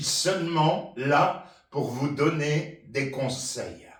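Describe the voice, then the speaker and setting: Speaking at a very slow pace, a man with a fairly high-pitched voice is heard with audible room echo. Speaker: senior chair exercise instructor. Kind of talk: personal testimony.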